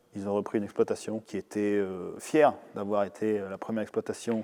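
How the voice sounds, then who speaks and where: This man has an ordinary speaking voice, fairly low in pitch, with fairly even intonation and a fairly quick pace. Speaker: winemaker. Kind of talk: interview.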